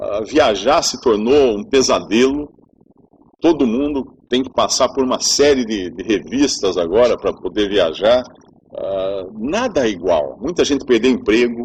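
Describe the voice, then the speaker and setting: A man speaks with a Brazilian accent at medium pitch. His pace is fairly slow and his intonation lively. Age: 50s. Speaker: preacher. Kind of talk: sermon. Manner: conversational.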